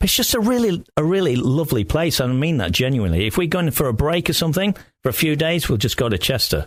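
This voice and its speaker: Racing at a very fast pace with hardly any pauses, a man with a fairly high pitch makes very wide pitch swings while keeping his loudness very even, on a very clean recording with a silent background. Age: 60s. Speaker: radio DJ and podcast host. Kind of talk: casual interview chat.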